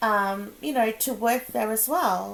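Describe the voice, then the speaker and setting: A woman speaks fairly slowly with a fairly high pitch. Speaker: tarot reader. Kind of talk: casual tarot reading to camera. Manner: rambling, sometimes mumbled.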